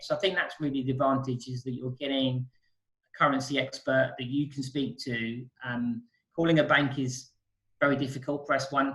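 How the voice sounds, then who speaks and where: With a British accent, a man at medium pitch speaks fairly quickly in a flat monotone. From UK. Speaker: currency exchange specialist. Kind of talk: interview.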